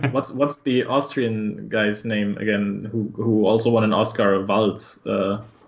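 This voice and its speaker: The speaker has a German accent and a fairly slow pace. Intonation stays fairly even, with hardly any pauses. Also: man, fairly low pitch for a man. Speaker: esports commentator. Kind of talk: live commentary.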